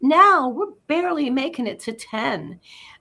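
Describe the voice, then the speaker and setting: Her pitch swings very widely in a bright, sharp tone. A woman talks in a raised, projected voice. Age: 60s. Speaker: pet health advocate. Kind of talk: casual talk show segment.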